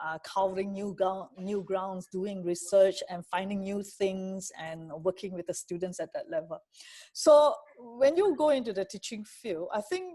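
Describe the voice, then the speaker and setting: Dark and mellow in tone, a woman speaks at a medium pitch and moderate pace with lively intonation. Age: 50s. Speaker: university lecturer. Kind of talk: interview. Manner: loud; energetic.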